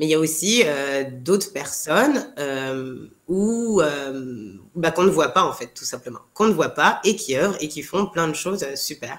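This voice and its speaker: A woman's very deep, low voice at a fairly slow pace, with very wide pitch swings and big swings in loudness. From France, Paris. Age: 30s. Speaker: TV show co-founder. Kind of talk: interview. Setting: podcast.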